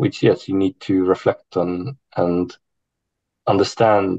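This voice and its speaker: Speaking at a fairly slow pace, a man with a fairly low pitch, a dark, mellow tone and ordinary pitch variation sounds dry and close, with no echo. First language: not English. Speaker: university academic, panelist. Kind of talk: online panel discussion. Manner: hesitant, many fillers.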